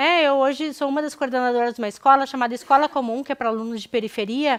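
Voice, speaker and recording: Speaking at a very fast pace with a Porto Alegre accent, a woman uses a high pitch and fairly even intonation, with big swings in loudness. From southern Brazil, Porto Alegre. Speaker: anthropologist researcher. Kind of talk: public lecture. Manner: hesitant, with fillers and restarts.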